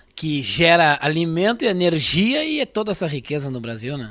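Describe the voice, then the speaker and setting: A man's normal speaking voice at a moderate pace, fairly high pitch and lively intonation. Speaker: radio host. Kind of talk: radio interview; radio presenting.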